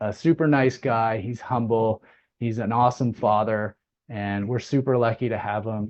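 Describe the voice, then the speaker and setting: An ordinary speaking voice, fairly even in intonation and moderate in pace. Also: man. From Nova Scotia, Canada. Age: 40s. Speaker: business opportunity presenter. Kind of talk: online business meeting presentation.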